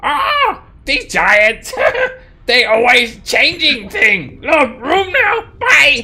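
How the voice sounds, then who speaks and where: A put-on character voice, high-pitched, delivers its words at a very slow pace. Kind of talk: broken, choppy speech. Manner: gruff, grumbling.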